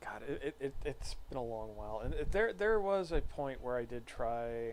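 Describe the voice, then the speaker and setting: A man speaks at a moderate pace. He is soft-spoken. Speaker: streamer. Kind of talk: casual chat. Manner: halting.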